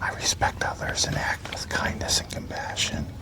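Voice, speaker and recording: Someone whispers in a gentle tone at a moderate pace, with noticeable background noise behind them. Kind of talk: soft-spoken ASMR book reading in a library. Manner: soft-spoken, gentle.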